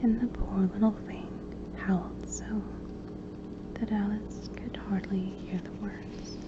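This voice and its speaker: Soft-spoken, a woman talks very slowly. Noticeable background noise can be heard. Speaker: ASMR reader. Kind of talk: soft-spoken audiobook reading for relaxation. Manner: soft-spoken, quiet.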